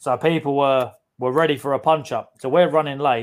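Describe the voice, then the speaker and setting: The speaker has a London accent and a moderate pace. Intonation stays fairly even. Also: man. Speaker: podcast co-host. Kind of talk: casual chat.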